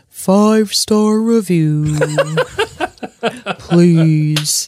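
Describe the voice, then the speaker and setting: The voice is a put-on character. Its pitch lands in the middle. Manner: spooky, eerie.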